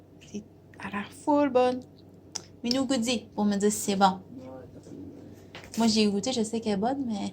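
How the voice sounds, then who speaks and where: With a Quebec accent, a woman speaks at a fairly high pitch and a moderate pace, her intonation fairly even and broken by long, frequent pauses. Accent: Québécois French. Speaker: vlogger. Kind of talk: casual vlog chat.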